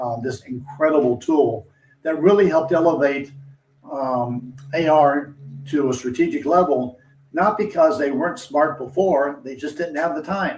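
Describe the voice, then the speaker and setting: Having a normal speaking voice, a man talks at a moderate pace with a fairly high pitch and ordinary pitch variation. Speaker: industry analyst. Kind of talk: interview discussion.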